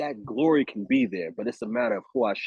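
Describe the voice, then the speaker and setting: A man's animated tone at a fairly quick pace. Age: 30s. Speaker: actor. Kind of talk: casual chat.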